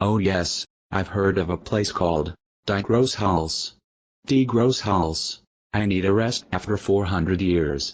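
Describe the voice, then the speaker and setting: This man performs a cartoonish character voice. His pitch sits fairly low and his pace is fairly slow. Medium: puppet show.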